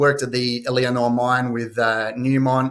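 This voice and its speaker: A medium-pitched male voice at a moderate pace. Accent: Australian. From Western Australia, Perth. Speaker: mining company CEO. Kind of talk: investor presentation. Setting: live online conference. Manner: frequent fillers (uh, um).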